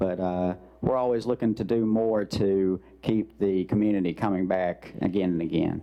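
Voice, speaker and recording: A man speaks with a Southern Arkansas accent at a fairly low pitch. His loudness stays very even and his intonation fairly even. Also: moderate pace. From Arkansas, Mississippi Delta region. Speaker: museum director. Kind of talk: public meeting remarks. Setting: county commission meeting.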